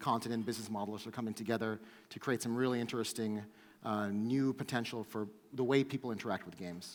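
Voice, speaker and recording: A man speaks with an American accent. His medium-pitched voice keeps fairly even intonation. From US Northeast, New York. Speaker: startup co-founder, conference speaker. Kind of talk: conference talk. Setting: stage with audience. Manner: fast.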